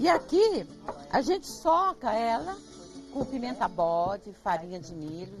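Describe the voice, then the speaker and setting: Very wide pitch swings across a woman's fairly slow delivery. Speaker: farm owner and traditional cook. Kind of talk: interview. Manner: animated.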